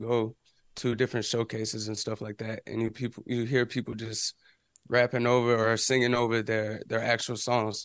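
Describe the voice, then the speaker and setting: Fairly quick and fairly even in intonation, a man speaks at a medium pitch in an ordinary speaking voice. The background is quiet. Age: 20s. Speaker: independent musician and music business YouTuber. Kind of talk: casual interview.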